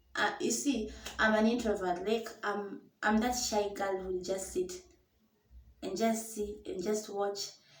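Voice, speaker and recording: Speaking at a fairly slow pace, a woman with a fairly high pitch and ordinary pitch variation is heard with audible room echo. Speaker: storyteller vlogger. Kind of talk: personal storytelling. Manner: casual, code-switching English and Swahili.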